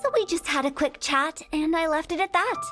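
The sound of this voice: In a put-on character voice, a woman speaks at a fairly quick pace with extremely high pitch, lively intonation and a bright, sharp tone, as faint music plays in the background.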